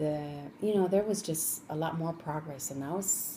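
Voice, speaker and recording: Noticeable background noise sits behind a woman with a very deep, low pitch. She talks at a fairly quick pace with fairly even intonation. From Colombia (Cali), moved to Los Angeles as a child. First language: Spanish. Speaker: interviewee, parent of the student interviewer. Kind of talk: interview.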